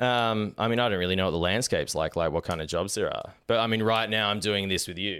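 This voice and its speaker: The recording is very clean, the background silent. A man with a fairly low pitch and ordinary pitch variation talks at a very fast pace with hardly any pauses. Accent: Australian. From Australia. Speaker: podcast host. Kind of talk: casual chat.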